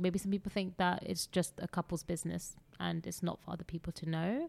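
Her intonation fairly even, a woman speaks in a fairly low voice. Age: 30s. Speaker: miscarriage survivor sharing her story. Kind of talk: personal testimony in interview. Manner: halting, many fillers.

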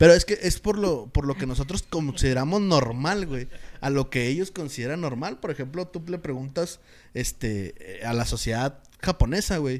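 With lively intonation and a fairly high pitch, a man talks at a moderate pace. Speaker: podcast co-host. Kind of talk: casual chat.

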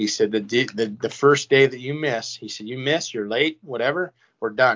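A man talks at a fairly quick pace with a Canadian Prairies accent. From Saskatchewan, Canada. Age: 40s. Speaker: retired hockey player. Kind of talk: casual chat. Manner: halting.

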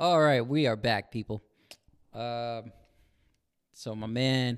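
A man's voice is heard. It falls at a medium pitch. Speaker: podcast host; group home support worker. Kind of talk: casual chat. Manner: excited, animated.

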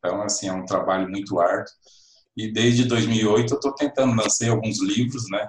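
Somewhat breathy and medium in pitch, a man speaks at a moderate pace with fairly even intonation. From western Paraná, Brazil. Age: 50s. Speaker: writer. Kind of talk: casual chat.

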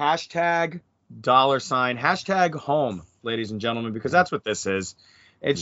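In an animated tone, a man with a fairly high pitch talks at a fairly quick pace with lively intonation. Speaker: podcast host and wrestling commentator. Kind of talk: casual chat.

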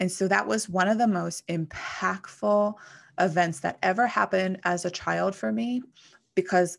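A woman speaks at a moderate pace with an American accent and lively intonation. Her fairly low pitch comes in an ordinary speaking voice. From western Pennsylvania, McKeesport. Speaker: mindset coach and financial advisor. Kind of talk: solo podcast monologue.

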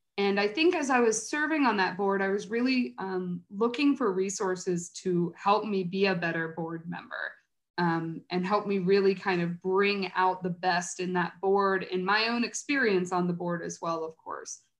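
A woman speaks at a moderate pace with hardly any pauses. Her pitch is medium, with ordinary variation. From Cincinnati, Ohio, US Midwest. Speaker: early childhood resource coordinator at a nonprofit. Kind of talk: interview.

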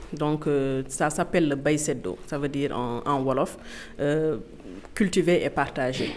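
A woman's very deep, low-pitched voice at a very slow pace, with ordinary pitch variation. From Senegal. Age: 20s. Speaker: farm owner. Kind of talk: interview. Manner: halting.

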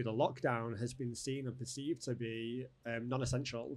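With a Manchester accent, a man speaks at a moderate pace with fairly even intonation. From northern England. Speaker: events company owner. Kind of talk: casual interview. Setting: studio.

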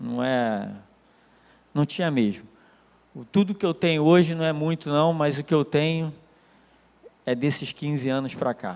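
Fairly high-pitched man at a fairly slow pace, with long, frequent pauses and ordinary pitch variation. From Brazil, Nilópolis, Baixada Fluminense (Rio de Janeiro). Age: 40s. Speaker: lay preacher giving testimony. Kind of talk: church talk / testimony. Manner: casual, hesitant with fillers.

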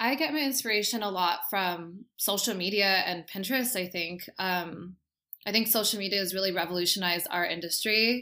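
A woman with a Californian accent, bright and sharp in tone, at a medium pitch with ordinary pitch variation and a moderate pace, in a very clean recording with a silent background. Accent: Californian American. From Southern California, Costa Mesa. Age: 20s. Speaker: hairdresser. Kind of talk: casual chat.

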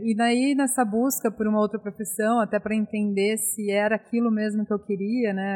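Her voice is fairly high-pitched for a woman, and her intonation is flat and monotone. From interior of São Paulo state, Brazil. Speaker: beer hunter and former journalist. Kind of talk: casual interview chat.

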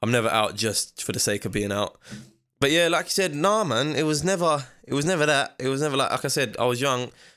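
With a London accent, a man talks very fast with lively intonation. His pitch is fairly high, on a very clean recording with a silent background. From East London, England. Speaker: professional boxer. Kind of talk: casual chat.

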